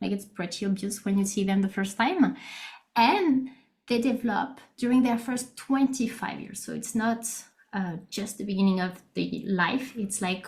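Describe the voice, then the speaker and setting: A woman speaks at a moderate pace with a fairly high pitch and a French accent. Her voice is somewhat breathy, with ordinary pitch variation and audible room echo. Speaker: neuroscientist. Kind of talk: lecture.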